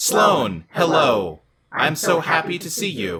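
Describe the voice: Booming in a put-on character voice, a man with a fairly high pitch speaks at a fairly slow pace with very wide pitch swings.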